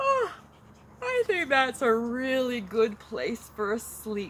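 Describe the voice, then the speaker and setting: A put-on character voice, fairly high in pitch, at a fairly slow pace. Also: female-sounding voice. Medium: read story. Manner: simple, sing-song.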